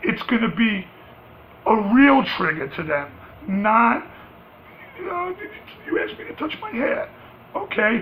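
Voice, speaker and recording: A man with a New York accent speaks at a high pitch. His pace is fairly slow, with noticeable background noise behind him. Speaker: vlogger. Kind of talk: rant. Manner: loud, rising pitch when passionate; animated.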